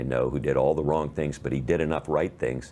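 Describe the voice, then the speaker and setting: A man's very deep, low voice amid noticeable background noise. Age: 60s. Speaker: cancer health advocate. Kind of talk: interview.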